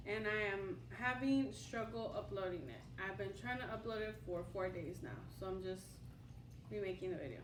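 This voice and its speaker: A woman speaks with very wide swings in pitch. Audible room echo surrounds her voice. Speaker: tarot reader. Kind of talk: tarot reading to camera. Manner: halting, with repetitions and fillers.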